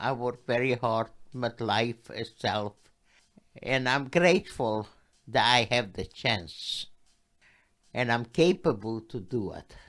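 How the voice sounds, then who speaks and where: Very slow pace, long, frequent pauses and ordinary pitch variation. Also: woman, very deep, low pitch for a woman. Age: 80s+. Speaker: Holocaust survivor. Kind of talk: interview answer.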